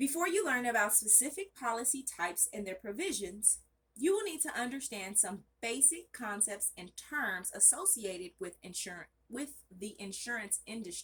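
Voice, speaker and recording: A woman speaks loudly at a moderate pace. Her fairly high pitch swings very widely. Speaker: study channel vlogger. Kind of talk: reading aloud study notes. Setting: bedroom at home, off camera. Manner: casual, self-correcting.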